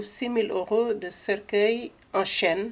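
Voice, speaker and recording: A woman speaks with ordinary pitch variation. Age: 60s. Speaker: eco-friendly coffin seller, funeral advisor. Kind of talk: interview.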